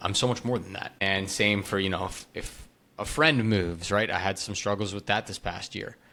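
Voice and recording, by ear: The tone is bright and sharp, with fairly even intonation. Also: man.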